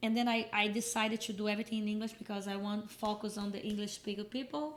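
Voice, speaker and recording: With a Brazilian Portuguese accent, a woman talks at a very fast pace with fairly even intonation. Background noise is noticeable. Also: fairly high pitch for a woman. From Brazil, Minas Gerais. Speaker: fitness coach and content creator. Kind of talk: podcast interview.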